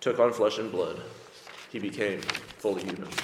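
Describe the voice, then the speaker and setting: A man with an American accent talks at a moderate pace. Noticeable background noise can be heard. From US. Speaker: preacher. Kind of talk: sermon. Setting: church.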